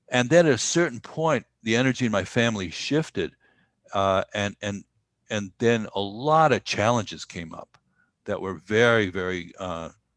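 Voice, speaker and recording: In a New York accent, a man at a medium pitch talks at a moderate pace with lively intonation, the sound dry and close with no echo on a very clean recording with a silent background. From US Northeast, New York. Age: 70s. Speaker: Buddhist meditation teacher and musician. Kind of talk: podcast interview. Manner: halting.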